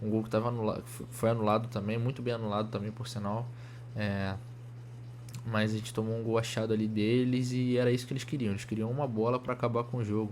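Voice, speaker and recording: Delivered at a very fast pace, a man's medium-pitched voice stays monotone and flat, with audible room echo. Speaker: football fan commentator. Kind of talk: casual video commentary. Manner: halting, many restarts.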